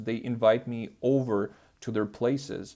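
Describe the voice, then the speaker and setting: Against a quiet background, a man speaks in a dark, mellow tone. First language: not English. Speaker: self-improvement youtuber. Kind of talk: casual vlog monologue. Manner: hesitant, many fillers.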